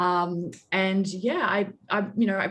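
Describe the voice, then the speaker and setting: A woman with an Australian accent speaks at a medium pitch with fairly even intonation. The background is quiet. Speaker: public relations agency director. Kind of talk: interview.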